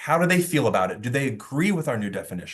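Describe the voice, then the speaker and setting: Fairly high-pitched male voice with vocal fry and very wide pitch swings. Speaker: workplace safety consultant. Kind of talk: webinar lecture. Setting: online webinar. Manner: fast; impassioned.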